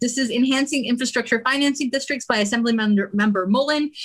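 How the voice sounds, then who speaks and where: Her intonation is lively as a woman speaks in a fairly high pitch. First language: Spanish. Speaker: political club member presenting bills. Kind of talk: meeting presentation. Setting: livestreamed meeting.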